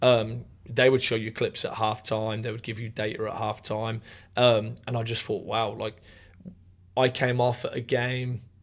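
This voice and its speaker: This man speaks at a moderate pace with a medium pitch and an East Midlands accent. His intonation is monotone and flat, on a very clean recording with a silent background. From England, Northamptonshire. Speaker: college soccer coach. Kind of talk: casual interview.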